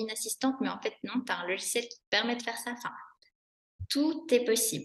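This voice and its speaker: A woman's high voice at a fairly quick pace. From Switzerland. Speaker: business founder and coach. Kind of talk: podcast interview. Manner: animated.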